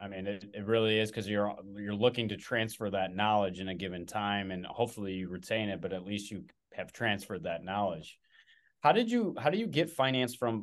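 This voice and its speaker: Speaking at a fairly quick pace, a man uses a plain, everyday voice at a fairly low pitch with ordinary pitch variation against a quiet background. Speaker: podcast host. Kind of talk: casual interview.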